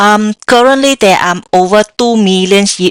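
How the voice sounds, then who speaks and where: A woman's voice with a slight Vietnamese accent, at a moderate pace with ordinary pitch variation, dry and close with no echo. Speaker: software developer. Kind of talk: tech talk with live demo. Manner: hesitant, many fillers.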